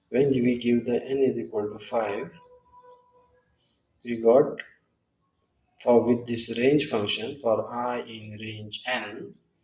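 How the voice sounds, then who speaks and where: A man at medium pitch, speaking at a very slow pace with long, frequent pauses, with music in the background. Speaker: programming tutor. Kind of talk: tutorial.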